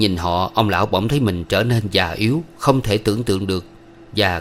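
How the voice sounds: A natural reading voice is heard. The text is read through.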